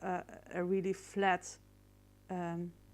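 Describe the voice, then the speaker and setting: Recorded very cleanly against a silent background, a woman speaks at a medium pitch with a Dutch accent. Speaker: photo retoucher. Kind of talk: tutorial. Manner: halting, many fillers.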